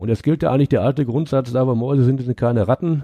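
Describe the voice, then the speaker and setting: Over a quiet background, a man with a dark, mellow tone and medium pitch talks at a fairly quick pace with ordinary pitch variation, dry and close with no echo. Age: 50s. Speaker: retired coal miner. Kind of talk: interview.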